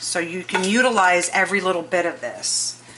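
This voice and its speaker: A woman with a medium pitch and ordinary pitch variation speaks at a fairly slow pace over noticeable background noise. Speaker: cooking channel host. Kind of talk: cooking tutorial. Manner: soft-spoken.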